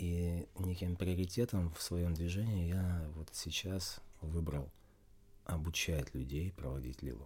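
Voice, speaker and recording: A man speaks very slowly in a very deep, low voice that is somewhat breathy. His pitch varies in an ordinary way. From Russia. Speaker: spiritual game master and yoga teacher. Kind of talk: interview.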